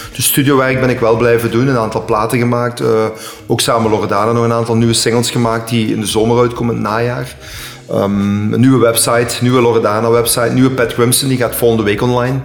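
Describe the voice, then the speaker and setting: A man's medium-pitched, flat, monotone delivery at a very fast pace, with audible room echo and noticeable background noise. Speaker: DJ and dance artist. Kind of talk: casual chat. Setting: at the guest's home.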